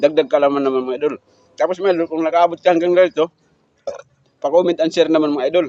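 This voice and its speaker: A man with a fairly high pitch and a dark, mellow tone speaks in a strong Eastern Visayas accent. His pace is very fast, broken by long, frequent pauses. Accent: Waray accent in Tagalog, strong. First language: Waray (speaking Tagalog). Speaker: food vlogger. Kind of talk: mukbang vlog chat. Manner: halting, many fillers.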